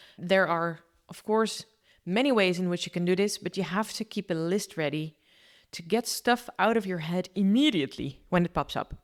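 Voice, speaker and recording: Speech comes at a moderate pace with a non-native accent. The recording is very clean, with a silent background and a dry, close sound free of echo. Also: woman, medium pitch for a woman, ordinary pitch variation. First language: not English. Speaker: podcast host. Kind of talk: casual solo podcast talk. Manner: stumbles over words often.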